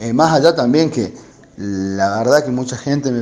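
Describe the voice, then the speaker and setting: Man at a medium pitch and moderate pace. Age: 40s. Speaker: recovered COVID patient, electronics shop employee. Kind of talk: testimony. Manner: halting.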